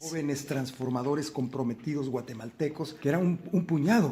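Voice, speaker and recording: This man has a plain, everyday voice. He talks at a fairly quick pace with ordinary pitch variation. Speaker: son of the poet being interviewed, speaking about history and his mother's life. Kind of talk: interview answer.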